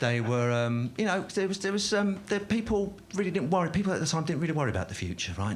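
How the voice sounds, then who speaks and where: Talking very fast in a somewhat breathy voice, a man makes very wide pitch swings amid audible room echo. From South London. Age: 50s. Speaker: stand-up comedian. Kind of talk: stand-up. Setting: stage with audience. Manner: halting, many fillers.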